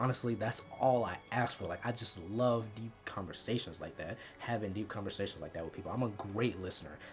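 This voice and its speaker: A man with a slight Southern US accent talks at a fairly quick pace with hardly any pauses, his pitch fairly low. His pitch varies in an ordinary way, with music playing in the background. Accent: little Southern accent, speaks proper. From US South, Mississippi. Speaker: YouTuber. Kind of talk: personal vlog, confessional talk. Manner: soft-spoken; quiet, not loud off camera.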